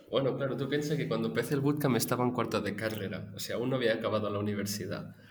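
This man talks very fast at a medium pitch, with hardly any pauses. His pitch varies in an ordinary way, and the room echo is audible. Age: 20s. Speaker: recent graduate. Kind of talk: interview.

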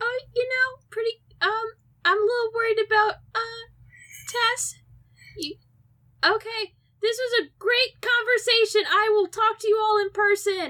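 Putting on a character voice, a woman goes squeaky at an extremely high pitch, moving at a moderate pace with long, frequent pauses. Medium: actual play. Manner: casual, profane.

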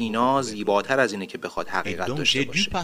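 A man at a very fast pace, medium in pitch with ordinary pitch variation. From Cameroon, Douala. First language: Duala (speaking Persian). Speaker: musician. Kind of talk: interview.

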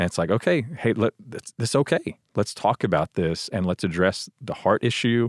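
A man with an ordinary speaking voice and an American accent talks at medium pitch with lively intonation, at a moderate pace with hardly any pauses. The sound is dry and close with no echo, over a quiet background. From Texas, Houston. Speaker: church staff member and father. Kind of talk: casual chat.

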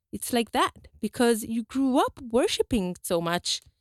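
Recorded very cleanly with a silent background and a dry, close sound with no echo, a woman speaks at a moderate pace with a fairly high pitch. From Brazil. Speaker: community organization chair. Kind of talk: interview.

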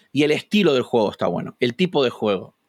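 Speaking at a very fast pace with a Rioplatense accent and lively intonation, the voice sounds dry and close with no echo on a very clean recording with a silent background. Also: man. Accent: Argentine Rioplatense Spanish. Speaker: youtuber and gamer. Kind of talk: casual interview.

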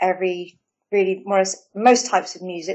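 A woman in an English accent at a medium pitch, with monotone, flat intonation. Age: 40s. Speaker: life coach. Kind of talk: casual chat.

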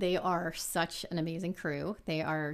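A woman with an American accent uses a plain, everyday voice at a fairly low pitch, speaking at a moderate pace with fairly even intonation. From South Texas, San Antonio. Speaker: business executive. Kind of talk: interview.

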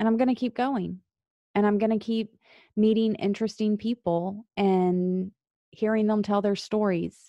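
Against a quiet background, a woman talks at medium pitch in a dark, mellow tone with monotone, flat intonation and very even loudness, in a dry, close sound with no echo. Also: moderate pace. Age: 40s. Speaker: podcast host and Marine Corps veteran. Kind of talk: solo podcast monologue.

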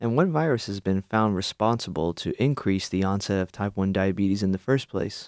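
With a normal speaking voice, a man talks at a fairly quick pace with hardly any pauses and a fairly low pitch, on a very clean recording with a silent background. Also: ordinary pitch variation, dry, close sound with no echo. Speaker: radio co-host and PhD candidate. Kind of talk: radio interview.

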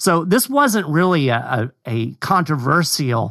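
A man's fairly high-pitched voice comes through against a quiet background. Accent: Kentucky. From Kentucky. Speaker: communications director of a constitutional advocacy group. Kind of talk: casual discussion.

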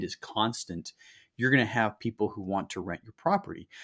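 With an American accent, a man with an ordinary speaking voice talks at a fairly quick pace and with lively intonation on a very clean recording with a silent background. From Utah. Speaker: real estate investor, Marine veteran. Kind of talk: podcast interview.

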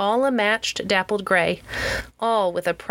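A natural reading voice shifts its pitch in an ordinary way.

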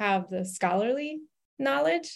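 Over a quiet background, a woman of medium pitch speaks with an American accent. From US South, Louisiana. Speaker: journalism professor. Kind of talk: interview. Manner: halting, many fillers.

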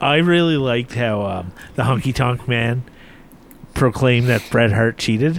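Speaking at a moderate speed, a man uses an ordinary speaking voice, medium in pitch and with ordinary movement in that pitch. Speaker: podcast co-host. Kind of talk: casual chat.

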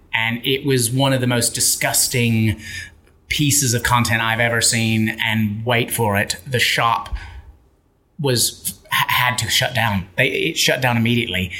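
Fairly slow speech from a man with an American accent, noticeable background noise behind it. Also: medium pitch for a man, very even loudness. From Memphis, Tennessee, US South. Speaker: author and keynote speaker. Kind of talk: casual interview chat. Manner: animated, enthusiastic.

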